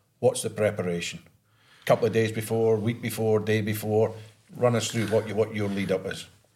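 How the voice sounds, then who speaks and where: This man talks fairly quickly in a Scottish accent, his voice fairly low and somewhat breathy. His intonation stays monotone and flat. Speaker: podcast co-host, ex-footballer. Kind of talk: casual chat.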